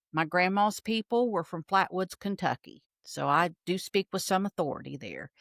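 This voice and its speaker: A woman with an Appalachian accent speaks at medium pitch and a moderate pace, with lively intonation and hardly any pauses. The sound is dry and close with no echo, and the recording is very clean over a silent background. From Appalachia, southeastern Ohio. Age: 60s. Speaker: military veteran and political commentator. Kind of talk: casual interview. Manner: animated.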